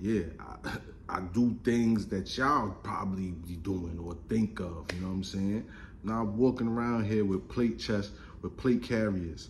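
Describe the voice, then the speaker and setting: Somewhat breathy and fairly low in pitch, a man speaks at a fairly slow pace with ordinary pitch variation over light background noise. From Brooklyn, New York. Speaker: gun YouTuber. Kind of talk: casual vlog monologue. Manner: animated. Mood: joking, opinionated. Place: home room. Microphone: phone near.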